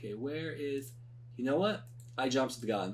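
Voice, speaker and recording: There is audible room echo around the voice. A man speaks with ordinary pitch variation. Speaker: tech YouTuber. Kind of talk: screen-recorded tutorial. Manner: halting, many repetitions.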